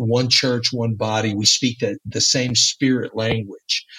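In a Texas accent, a man with a medium pitch and a bright, sharp tone speaks at a fairly slow pace, the sound dry and close with no echo. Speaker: church planter missionary. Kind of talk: casual interview. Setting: in Mexico, recorded remotely.

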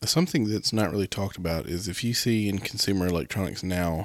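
Recorded very cleanly over a silent background, a man in an ordinary speaking voice talks at a fairly quick pace, his fairly low pitch showing ordinary variation. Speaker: podcast co-host. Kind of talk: casual conversational discussion.

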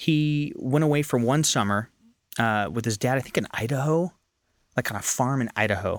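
A man speaks in an unremarkable speaking voice with an American accent, medium in pitch with ordinary pitch variation. His pace is moderate, and the recording is very clean with a silent background. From Northern California. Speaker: actor and filmmaker. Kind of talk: casual interview chat. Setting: studio.

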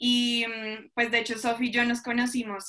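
In a bright, sharp tone, a woman speaks at a fairly high pitch and fairly slow pace with monotone, flat intonation. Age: young. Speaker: church youth leader and student. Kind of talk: faith testimony in casual podcast chat.

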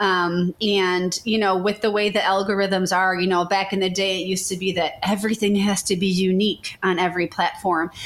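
A woman with an American accent, medium pitch, monotone, flat intonation, very even loudness and a fairly quick pace. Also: hardly any pauses. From Chicago area. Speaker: social media marketing agency owner. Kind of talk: interview.

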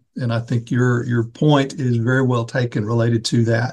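A man speaks in a somewhat breathy voice. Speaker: seminary dean and podcast host. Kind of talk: interview, moderated discussion.

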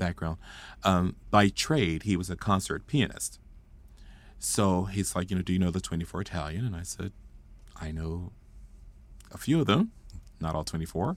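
Long, frequent pauses break up the speech of a man with an American accent, whose very deep, low voice moves at a moderate pace with ordinary pitch variation. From Fort Worth, Texas. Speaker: choral music educator. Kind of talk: interview conversation. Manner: animated.

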